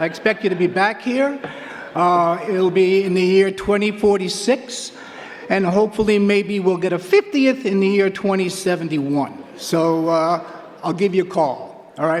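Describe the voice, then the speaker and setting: A man with a New York accent speaks in a high pitch, with noticeable background noise behind him. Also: ordinary pitch variation, moderate pace. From Queens, New York. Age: 70s. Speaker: track coach. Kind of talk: acceptance speech.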